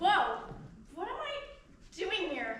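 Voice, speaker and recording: A squeaky, put-on character voice, extremely high in pitch, with very wide pitch swings and audible echo. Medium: stage play. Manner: breezy, sly.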